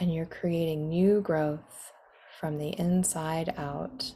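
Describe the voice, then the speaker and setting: A woman's fairly low, somewhat breathy voice, dark and mellow in tone, calm and soothing, with fairly even intonation. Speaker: guided meditation guide. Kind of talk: guided meditation / guided imagery. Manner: calm, slow, soothing.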